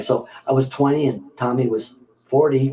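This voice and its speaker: This clip features a man talking. His voice sits at a medium pitch. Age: 60s. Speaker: filmmaker. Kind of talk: casual chat. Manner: halting.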